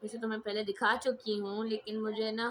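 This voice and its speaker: A woman is shouting loudly at a moderate pace against noticeable background noise. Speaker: craft youtuber. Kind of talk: tutorial. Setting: home, siblings in room. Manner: loud, shouting to be heard. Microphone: mic held far away, voice not reaching.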